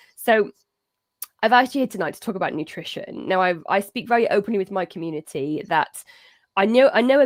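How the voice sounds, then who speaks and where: A woman with a British accent speaks at a fairly quick pace in an enthusiastic tone, with a medium pitch and ordinary pitch variation. The recording is very clean, with a silent background and a dry, close sound with no echo. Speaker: cat behaviour advisor and show host. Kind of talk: live-streamed interview.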